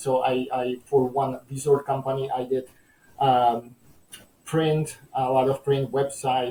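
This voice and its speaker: Speaking with a Czech accent, a man at a medium pitch uses a dark, mellow tone that is somewhat breathy, with fairly even intonation and a fairly slow pace. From Czechoslovakia. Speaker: entrepreneur. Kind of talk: interview. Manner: halting with many fillers.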